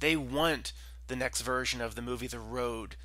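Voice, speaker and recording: A man at a moderate pace, with dry sound and no echo. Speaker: channel host. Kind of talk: commentary. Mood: serious, concerned. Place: home room. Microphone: headset.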